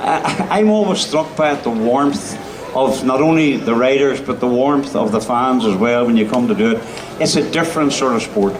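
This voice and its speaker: With a Northern Irish accent, a man speaks at a medium pitch and moderate pace with lively intonation and very even loudness, amid audible room echo and noticeable background noise. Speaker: event host. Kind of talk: on-stage interview. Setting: stage with audience.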